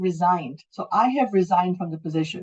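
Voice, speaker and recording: A woman talks at a moderate pace with ordinary pitch variation. Her voice is somewhat breathy. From Calgary, Canada. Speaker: English language teacher. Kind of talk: online class instruction.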